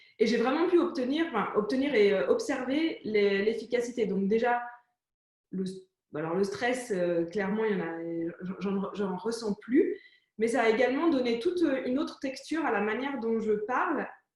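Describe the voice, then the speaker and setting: A woman with a fairly high pitch talks at a moderate pace, making very wide pitch swings amid audible room echo. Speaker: entrepreneur interview host. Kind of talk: conversational interview.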